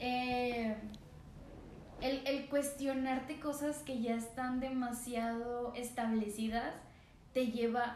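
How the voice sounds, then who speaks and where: Very slow, monotone, flat speech with long, frequent pauses, audible room echo, and noticeable background noise. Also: woman, high pitch for a woman. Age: 20s. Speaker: podcast co-host. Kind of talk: casual chat. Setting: no studio, ambient sounds.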